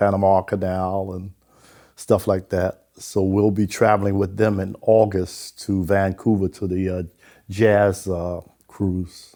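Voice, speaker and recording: On a very clean recording with a silent background, a man with a dark, mellow tone speaks at a fairly low pitch, with monotone, flat intonation and a fairly slow pace. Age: 80s+. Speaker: retiree. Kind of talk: interview. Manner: halting.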